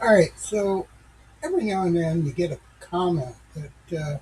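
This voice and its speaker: A man's high-pitched voice at a fairly slow pace, with ordinary pitch variation. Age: 60s. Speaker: tech commentator / channel owner. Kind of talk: casual monologue. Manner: halting, many fillers; unpolished.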